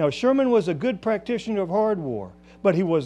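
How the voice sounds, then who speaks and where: Talking at a very fast pace with a Southern US accent, a man uses lively intonation and a dark, mellow tone. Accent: Southern American. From US South. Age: 60s. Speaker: historian. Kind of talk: lecture.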